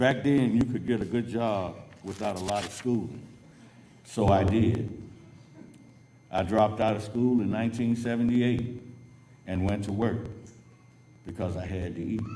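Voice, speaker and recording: With an American accent, a man speaks at a moderate pace in a dark, mellow tone with fairly low pitch, leaving long, frequent pauses amid audible room echo. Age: 60s. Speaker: adult education graduate. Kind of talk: graduation speech.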